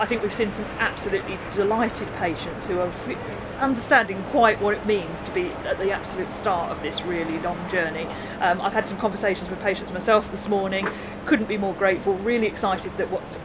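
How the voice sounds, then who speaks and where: A woman talking at a very fast pace over loud background noise. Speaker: hospital director. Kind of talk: interview answer. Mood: upbeat, proud. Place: garden.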